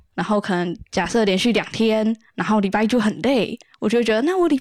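A woman talks in a normal speaking voice at a fairly high pitch and a fairly quick pace, with lively intonation. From Taiwan, Kaohsiung. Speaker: solo idol singer. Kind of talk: casual interview chat.

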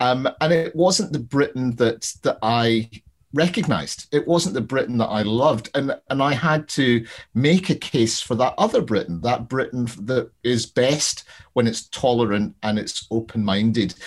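With a Glaswegian accent, a man of medium pitch talks at a fairly slow pace using lively intonation. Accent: Glaswegian Scottish. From Scotland, Glasgow. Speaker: crime novelist. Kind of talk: casual interview.

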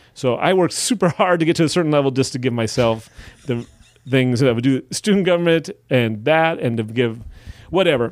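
This is a plain, everyday voice with an American accent. It moves at a fairly quick pace with very even loudness. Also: man, fairly high pitch for a man. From Wisconsin. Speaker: stand-up comedian and teacher. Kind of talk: casual chat.

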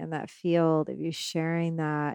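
Very slowly, a woman speaks with a fairly low pitch and monotone, flat intonation. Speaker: shaman and podcast host. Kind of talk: casual interview conversation.

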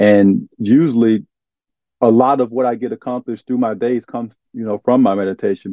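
A man talks at a very fast pace. He has an Arkansas accent. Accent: Southern US (Arkansas). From US South, eastern Arkansas. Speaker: former pro basketball player, nonprofit founder. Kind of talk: interview.

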